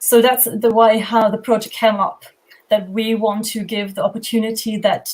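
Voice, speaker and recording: A woman speaks with a German accent. Her voice is fairly high in pitch and somewhat breathy. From Germany. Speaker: homeschooling project founder. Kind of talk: panel discussion.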